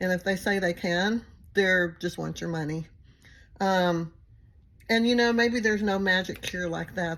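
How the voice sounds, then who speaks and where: Fairly slow speech in a Texas accent, on a very clean recording with a silent background. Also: woman. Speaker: recovery channel host. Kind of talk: casual monologue to viewers. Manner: rambling, filler-heavy.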